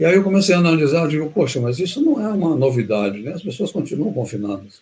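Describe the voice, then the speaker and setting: Very fast delivery from a man pitched fairly high, his pitch swinging very widely. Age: 70s. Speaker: health educator. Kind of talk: live webinar talk. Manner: halting.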